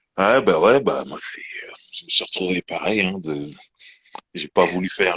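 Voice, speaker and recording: Dry and close, a man's voice is heard with no echo at all. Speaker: live show co-host, music talk. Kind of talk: casual chat.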